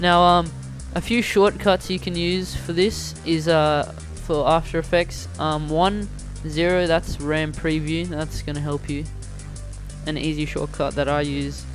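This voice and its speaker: Over background music, a man speaks at a fairly slow pace. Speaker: video editing tutorial maker. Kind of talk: software tutorial narration. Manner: stuttering, hesitant with many fillers.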